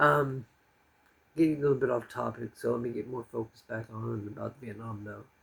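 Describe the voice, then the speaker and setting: A man speaks with an American accent and fairly even intonation. His voice is somewhat breathy. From US. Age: 40s. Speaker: expat vlogger and English teacher. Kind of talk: casual monologue vlog. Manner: calm; halting with fillers.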